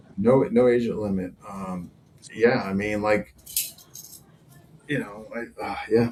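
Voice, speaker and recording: Against noticeable background noise, a man speaks very slowly at a fairly low pitch, with fairly even intonation, big swings in loudness, and long, frequent pauses. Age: 60s. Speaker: martial arts instructor, podcast co-host. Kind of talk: casual chat.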